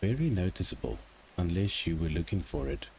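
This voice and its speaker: Using vocal fry, a man speaks fairly slowly at a very deep, low pitch that swings very widely. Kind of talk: ASMR bedtime story narration. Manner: soft-spoken, calm, soothing.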